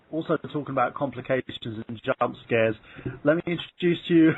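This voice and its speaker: Speaking in an English accent, a man with a fairly high pitch talks at a moderate pace with lively intonation. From England. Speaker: podcast host. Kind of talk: casual chat.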